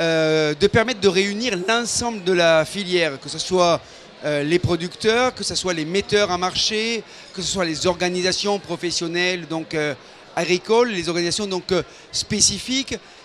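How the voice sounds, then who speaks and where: Over noticeable background noise, a man with a high voice talks at a fairly slow pace with ordinary pitch variation. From southern France, Hérault, Languedoc. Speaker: wine industry council president. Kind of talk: interview. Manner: hesitant, many fillers.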